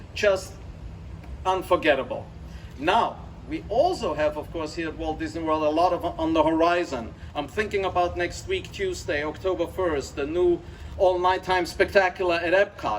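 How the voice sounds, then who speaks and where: Over noticeable background noise, a man with an Austrian accent speaks at a high pitch and a moderate pace with ordinary pitch variation. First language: German. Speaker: company executive. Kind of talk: ceremony speech. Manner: enthusiastic.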